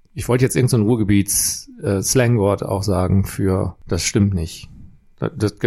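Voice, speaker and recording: With a dark, mellow tone and lively intonation, a man speaks at a fairly slow pace in a fairly low pitch. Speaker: podcast co-host. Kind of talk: casual chat. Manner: slow with long thinking pauses.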